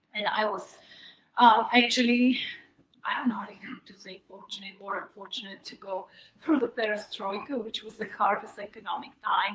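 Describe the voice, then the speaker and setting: With a Bulgarian accent, a woman talks at a moderate pace in a fairly high pitch, her intonation fairly even. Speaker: psychic coffee reader. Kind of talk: presentation. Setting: stage with audience. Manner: halting.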